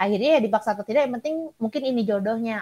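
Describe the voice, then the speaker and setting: The woman's fairly high voice moves with ordinary pitch variation. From Sumatra, Indonesia. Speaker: clinical psychologist and lecturer. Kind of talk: interview.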